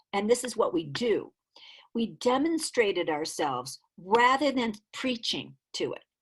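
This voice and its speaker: A woman with vocal fry speaks at a fairly slow pace in an animated tone, her pitch swinging very widely. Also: fairly high pitch for a woman. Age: 60s. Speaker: dancer and choreographer. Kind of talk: interview conversation.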